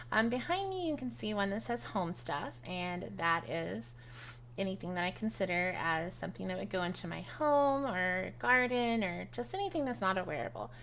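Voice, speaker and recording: A woman at a moderate pace, with audible room echo. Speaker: video game tutorial creator. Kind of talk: tutorial. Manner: casual, hesitant with many fillers.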